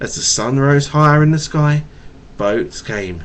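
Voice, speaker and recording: At a moderate pace, a man with a fairly high voice lets his pitch swing very widely. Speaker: father. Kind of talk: bedtime story reading to a child. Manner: stutters.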